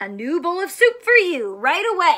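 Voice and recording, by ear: A woman uses a put-on character voice, extremely high in pitch, with a bright, sharp tone. She moves at a moderate pace with big pitch swings.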